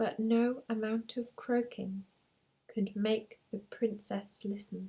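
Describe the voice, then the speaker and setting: The speaker is soft-spoken, with a gentle tone. The pace is very slow. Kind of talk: read story.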